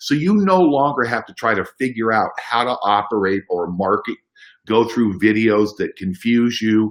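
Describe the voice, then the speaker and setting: With an ordinary speaking voice at medium pitch, a man talks at a moderate pace, his loudness swinging widely and his pitch varying in an ordinary way. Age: 60s. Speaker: business opportunity presenter. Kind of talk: sales pitch. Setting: conference call.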